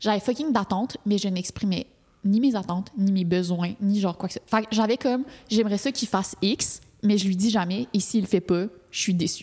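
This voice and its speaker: In a Quebec accent, a woman speaks at a moderate pace and medium pitch, somewhat breathy with a dark, mellow tone and ordinary pitch variation. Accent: Québécois French. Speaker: podcast co-host. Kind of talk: casual chat. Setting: studio.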